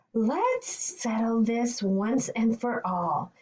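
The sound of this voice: A woman's put-on character voice, fairly high in pitch, delivered at a very slow pace.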